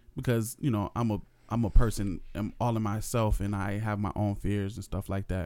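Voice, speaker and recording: Very clean recording, silent background, of a man with an American accent and a fairly low pitch. His tone is dark and mellow, with fairly even intonation at a moderate pace. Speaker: podcast co-host. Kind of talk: casual chat. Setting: home recording.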